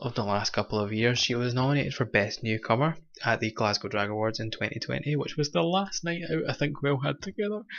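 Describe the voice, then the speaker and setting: A man's medium-pitched voice with a Scottish accent, lively intonation and a moderate pace. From Scotland, Kilmarnock. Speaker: drag show host. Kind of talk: online show hosting. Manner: casual, hesitant with fillers.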